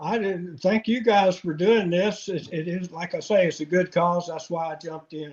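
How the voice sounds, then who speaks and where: High-pitched, a man speaks at a moderate pace with fairly even intonation and hardly any pauses. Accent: Appalachian. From US South, North Carolina mountains. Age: 60s. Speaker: angler. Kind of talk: casual interview.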